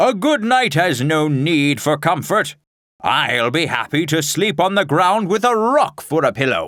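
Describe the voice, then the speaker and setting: Putting on a character voice, a man speaks at a moderate pace and high pitch, with very wide pitch swings and very even loudness. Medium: read story. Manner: grandiose, formal.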